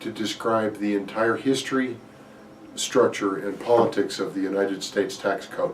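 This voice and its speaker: A man's medium-pitched voice with an American accent, fairly slow and fairly even in intonation, amid audible room echo and noticeable background noise. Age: 60s. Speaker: mortgage banker. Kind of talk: market commentary. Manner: hesitant, with fillers.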